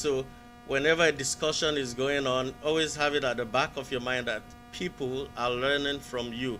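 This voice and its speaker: A man with a Nigerian accent talks at a medium pitch and moderate pace with fairly even intonation, with music in the background. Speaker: caller. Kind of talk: casual chat. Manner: halting.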